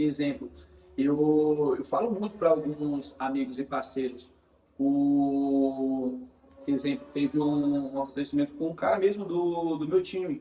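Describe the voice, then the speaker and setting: At a fairly slow pace and with ordinary pitch variation, a man speaks over noticeable background noise. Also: fairly high pitch for a man. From Bahia, Brazil. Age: 20s. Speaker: digital marketing specialist. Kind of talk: casual interview.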